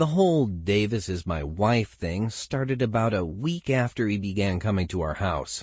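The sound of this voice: Lively intonation carries this unforced reading voice.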